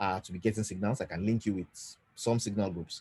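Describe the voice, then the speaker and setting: A man speaks in a somewhat breathy voice with a dark, mellow tone. His pitch sits fairly low, with ordinary pitch variation. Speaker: finance educator. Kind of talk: live online teaching session. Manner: fast.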